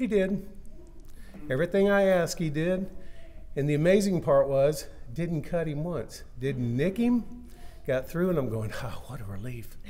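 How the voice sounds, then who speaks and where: Moderate pace and a dark, mellow tone from a man. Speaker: speaker. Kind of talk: eulogy storytelling. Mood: warm, lightly humorous remembrance. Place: church. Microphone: podium.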